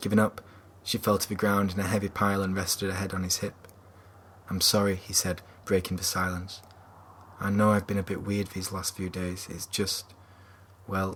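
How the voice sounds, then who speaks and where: A Yorkshire accent at a moderate pace, with flat, monotone intonation and long, frequent pauses. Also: man, very deep, low pitch for a man. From Yorkshire, England. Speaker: author. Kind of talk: novel chapter reading.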